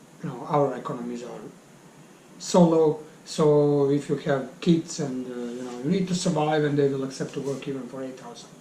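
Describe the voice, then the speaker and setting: In a Serbian accent, a man speaks at a fairly high pitch and moderate pace with fairly even intonation. His loudness swings widely over noticeable background noise. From Bosnia (Bosnian Serb). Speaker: English teacher. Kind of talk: interview. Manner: halting.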